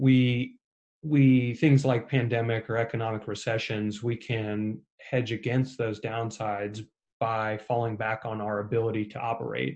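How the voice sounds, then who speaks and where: Fairly slow, monotone, flat delivery with a Midwestern US accent. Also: man, medium pitch for a man. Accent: US Midwest. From Ohio, Cincinnati. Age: 30s. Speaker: real estate investor. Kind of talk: interview.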